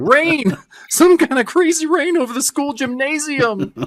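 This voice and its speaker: This man puts on a squeaky character voice. His pitch is extremely high, and his pace is moderate. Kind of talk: teen.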